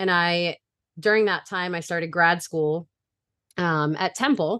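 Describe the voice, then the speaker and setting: With an American accent, the speaker goes at a very slow pace with long, frequent pauses, the tone bright and sharp, the sound dry and close with no echo, over a quiet background. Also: woman. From Brooklyn, New York, then Delaware from age eleven. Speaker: middle school music teacher and choral director. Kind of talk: casual interview.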